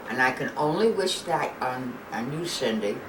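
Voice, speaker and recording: In a New York accent, a woman with a very deep, low pitch talks at a fairly slow pace with lively intonation, amid noticeable background noise and audible room echo. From New York, Brooklyn. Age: 80s+. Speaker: grandmother. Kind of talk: family interview.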